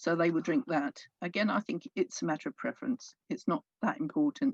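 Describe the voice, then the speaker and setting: Recorded dry and close with no echo, a woman speaks at a medium pitch, somewhat breathy and at a fairly quick pace, with very wide pitch swings. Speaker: pagan speaker at interfaith event. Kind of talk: talk. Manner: soft-spoken.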